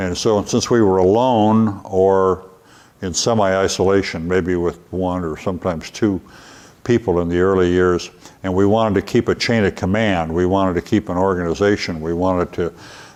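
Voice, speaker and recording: A man's very deep, low-pitched voice with fairly even intonation. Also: moderate pace. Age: 70s. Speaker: retired military general and former prisoner of war. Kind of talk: interview answering children's questions. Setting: library museum. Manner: hesitant with frequent fillers.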